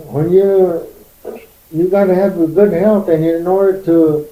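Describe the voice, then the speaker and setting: A man speaks at a very slow pace in a high pitch. His delivery is monotone and flat. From Korea. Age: 70s. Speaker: Korean immigrant pioneer. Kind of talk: oral history interview. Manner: halting.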